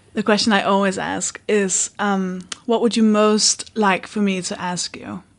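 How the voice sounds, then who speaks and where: Speaking with a Danish accent, a woman uses a medium pitch and monotone, flat intonation at a fairly slow pace. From Denmark. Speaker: podcast host and comedian. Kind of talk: podcast intro monologue; casual chat. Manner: halting.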